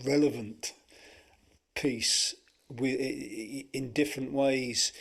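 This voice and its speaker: Over a silent background in a very clean recording, a man speaks in a strong Buckinghamshire accent at a medium pitch. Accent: strong Milton Keynes. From England, Milton Keynes. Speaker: former band associate. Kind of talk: casual chat. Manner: halting.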